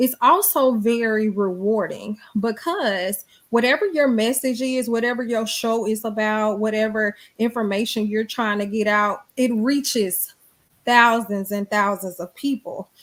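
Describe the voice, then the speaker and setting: Speaking fairly slowly in a strong Southern US accent, a woman uses a fairly high pitch with ordinary pitch variation. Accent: thick Southern. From US South, Montgomery, Alabama. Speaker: radio personality and professor. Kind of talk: interview conversation.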